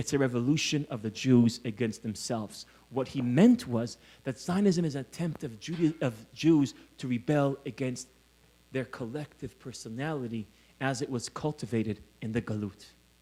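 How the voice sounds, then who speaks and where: A man with an American accent, medium pitch, dark and mellow tone, ordinary pitch variation and a moderate pace. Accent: faked American accent over Israeli. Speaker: scholar and lecturer. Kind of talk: lecture. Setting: conference hall with audience.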